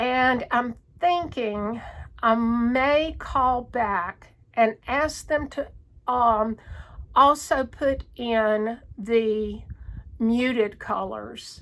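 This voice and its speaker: A woman speaks at a very slow pace in a strong Southern US accent. Her voice is high, with ordinary pitch variation. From North Carolina, US South. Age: 60s. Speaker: cross stitch vlogger. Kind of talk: casual chat. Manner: halting.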